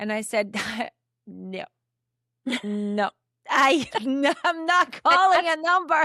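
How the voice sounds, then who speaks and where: High, bright and sharp woman's voice, raised and projected, with very wide pitch swings, a very slow pace and long, frequent pauses, in a dry, close sound with no echo. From Brazil, Curitiba. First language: Portuguese. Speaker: podcast host. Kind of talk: casual chat.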